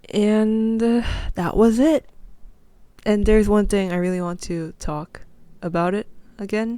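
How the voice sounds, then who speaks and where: A woman with a non-native accent and a dark, mellow tone speaks at a medium pitch with ordinary pitch variation and long, frequent pauses, in a very clean recording over a silent background. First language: not English. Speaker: podcast host. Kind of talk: casual solo podcast talk. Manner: halting, self-correcting.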